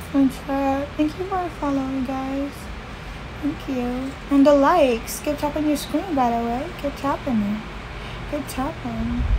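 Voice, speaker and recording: Against noticeable background noise, a woman speaks slowly-ish, at a fairly slow pace, with a high pitch and ordinary pitch variation. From Philippines. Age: 20s. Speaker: livestreamer. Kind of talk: casual chat. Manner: animated. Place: home room. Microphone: phone near.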